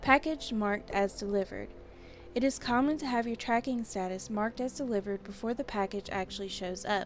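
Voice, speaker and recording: Over music in the background, a woman talks at a fairly quick pace in a fairly high pitch. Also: ordinary pitch variation. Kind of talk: casual review talk to camera. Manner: stuttering, some mispronouncing.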